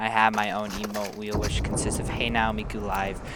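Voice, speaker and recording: Over noticeable background noise, a man talks at a fairly quick pace in a fairly low voice. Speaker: gaming YouTuber. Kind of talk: gameplay commentary. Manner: casual, rambling with fillers.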